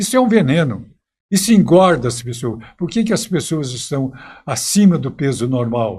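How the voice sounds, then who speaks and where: A man talks at a moderate pace with a fairly high pitch and somewhat breathy delivery. His pitch swings very widely. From Minas Gerais, Brazil. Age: 90s. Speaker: historian and teacher. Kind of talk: interview.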